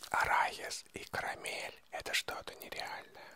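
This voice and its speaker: At a fairly slow pace, the speaker whispers in a soft-spoken way. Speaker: ASMR creator. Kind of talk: soft-spoken ASMR talk to viewers. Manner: soft close-mic ASMR whisper. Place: home room. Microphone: handheld.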